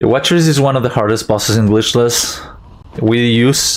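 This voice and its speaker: A man speaks with a non-native accent at a medium pitch. His intonation is fairly even. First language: not English. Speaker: speedrunner. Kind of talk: live gameplay commentary. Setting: live stream.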